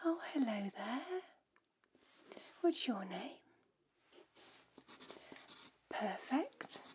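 A soft-spoken woman talks very slowly in a gentle tone. Light background noise sits behind her. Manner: soft, gentle ASMR greeting voice.

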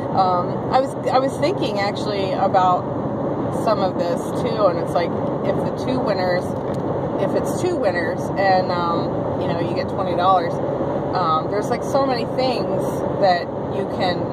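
Through loud background noise, a woman talks at a moderate pace with ordinary pitch variation and long, frequent pauses. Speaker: vlogger. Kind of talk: casual vlog chat. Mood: upbeat, excited about giveaway. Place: car. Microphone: phone near.

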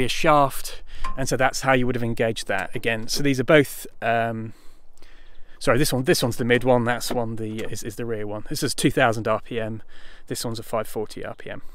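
In a dry sound with no echo, a man talks at a fairly quick pace with ordinary pitch variation. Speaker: machinery demonstrator. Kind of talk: tutorial. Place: garden. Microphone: phone near.

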